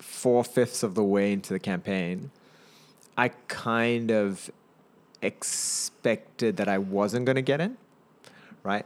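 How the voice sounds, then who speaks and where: Recorded very cleanly with a silent background, a man with a New Zealand accent speaks at a very slow pace and medium pitch, with ordinary pitch variation and long, frequent pauses. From New Zealand (Auckland), raised partly in Singapore, born in India. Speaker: businessman and startup advisor. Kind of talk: casual interview chat.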